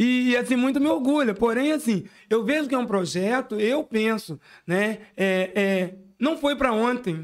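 A man speaks at a fairly slow pace with an extremely high pitch, on a very clean recording with a silent background. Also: ordinary pitch variation. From Itaperuna, Rio de Janeiro state, Brazil. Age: 40s. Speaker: city councillor. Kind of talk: casual interview. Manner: hesitant, filler-heavy.

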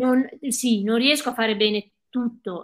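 Here a woman has an unremarkable speaking voice and a fairly high pitch. She talks at a fairly slow pace with ordinary pitch variation. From Veneto, Cadore (Dolomites), Italy. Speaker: ultra trail runner. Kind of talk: casual interview. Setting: live video stream.

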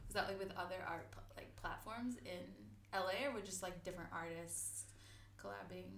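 A woman talks at a moderate pace through audible room echo and noticeable background noise. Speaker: podcast host. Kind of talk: casual chat. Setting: home recording.

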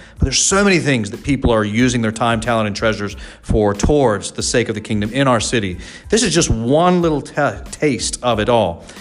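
Over noticeable background noise, a man talks at a very fast pace with very wide pitch swings. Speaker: pastor and church podcast host. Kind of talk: casual chat.

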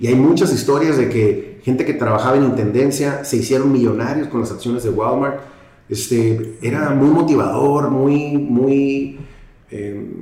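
Fairly even intonation from a man at medium pitch, with noticeable background noise and audible room echo. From Mexico, Tijuana. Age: 50s. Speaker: real estate executive. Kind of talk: casual interview.

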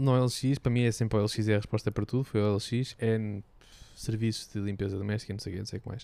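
On a very clean recording with a silent background, a man talks at a moderate pace in a dark, mellow tone with fairly even intonation. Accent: European Portuguese. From Portugal. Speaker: podcast co-host. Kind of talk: casual chat.

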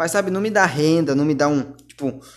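A man's voice, fairly high in pitch. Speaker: podcaster. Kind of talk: casual monologue.

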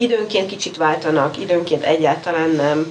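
A woman's very deep, low voice at a moderate pace. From Hungary. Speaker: writer and cultural anthropologist. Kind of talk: interview conversation.

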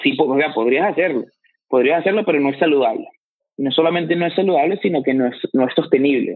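A man speaks at a fairly quick pace in a fairly high pitch. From Venezuela, Valencia. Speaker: fitness coach. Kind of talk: interview. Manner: halting, with frequent repetitions.

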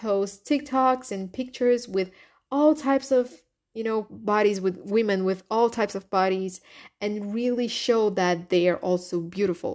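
A woman with a Brazilian accent speaks at a fairly slow pace in a medium pitch, her tone animated and her pitch varying in an ordinary way. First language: Portuguese. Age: 20s. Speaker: podcast host. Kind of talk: casual solo monologue. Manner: animated, laughs often.

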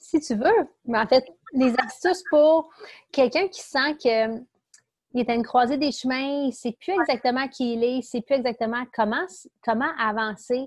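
Speaking fairly slowly in a Quebec accent, a woman uses a high pitch with ordinary pitch variation. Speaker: podcast host. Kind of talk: casual interview.

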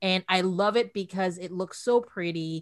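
A woman at a medium pitch and fairly slow pace, with ordinary pitch variation and an unremarkable speaking voice. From outside the US. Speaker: podcaster who reads classic books aloud. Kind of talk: interview. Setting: video call.

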